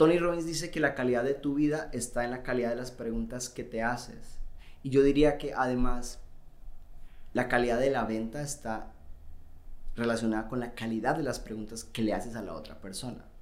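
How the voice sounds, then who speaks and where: He has a plain, everyday voice. This man's pitch is medium. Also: ordinary pitch variation. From Colombia. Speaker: sales expert. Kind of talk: casual interview chat.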